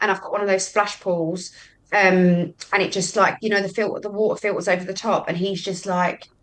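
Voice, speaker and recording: In a London accent, a woman speaks at a medium pitch and a fairly quick pace. Her intonation is monotone and flat. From West London (Hammersmith), later Brighton. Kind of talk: casual chat.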